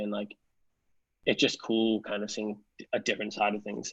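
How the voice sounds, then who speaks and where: A man is speaking. He has a Canadian accent. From Canada, outside Toronto. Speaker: music industry professional. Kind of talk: interview.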